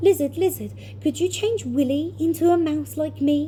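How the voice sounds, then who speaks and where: A put-on character voice at a moderate pace. Background noise is clearly audible. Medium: read story.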